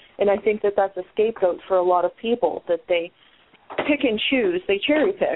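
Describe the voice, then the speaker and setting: In a plain, everyday voice with an American accent, the speaker moves along at a fairly quick pace. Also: woman. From Ohio, US. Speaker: podcast host. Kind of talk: casual chat.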